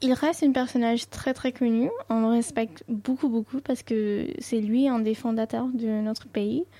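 A woman's fairly high voice with a dark, mellow tone, fairly even intonation, a fairly slow pace and hardly any pauses. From Dubai, Indian family from north India. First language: Sindhi (speaking French). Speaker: student and cultural ambassador. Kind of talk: radio interview.

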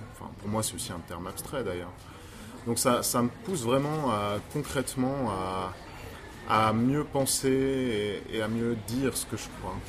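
Speaking at a fairly slow pace with a slight Swiss French accent, a man with a medium-pitched voice and ordinary pitch variation is heard in a room with audible echo. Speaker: pastor. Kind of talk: casual chat.

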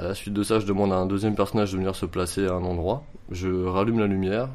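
At a fairly quick pace, a man with a fairly low pitch speaks with fairly even intonation. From France, Montreuil (Paris area). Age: 20s. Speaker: amateur photographer. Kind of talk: interview. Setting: at home. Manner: halting.

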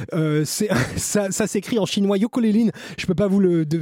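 A man's high-pitched, animated voice at a moderate pace, with ordinary pitch variation, a dry, close sound with no echo, and noticeable background noise. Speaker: radio host. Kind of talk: radio show presenting. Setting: radio studio, live.

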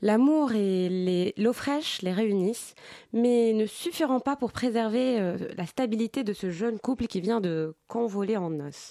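A dark, mellow tone at a very slow pace with lively intonation. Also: woman. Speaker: film columnist. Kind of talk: scripted narration. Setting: studio.

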